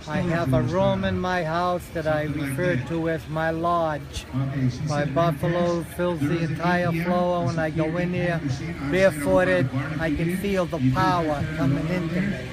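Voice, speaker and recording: Speaking at a fairly slow pace, a man has a fairly high pitch. Audible room echo and noticeable background noise surround him. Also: fairly even intonation. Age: 70s. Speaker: war veteran. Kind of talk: interview.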